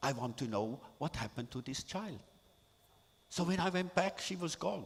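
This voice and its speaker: With a Swiss German accent, a man speaks in a somewhat breathy voice and with lively intonation. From Switzerland. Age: 70s. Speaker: artist and photographer. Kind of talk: talk to an audience. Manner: halting.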